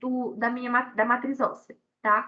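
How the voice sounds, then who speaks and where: Her voice raised and projected, a woman speaks with a bright, sharp tone. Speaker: university lecturer. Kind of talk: online lecture.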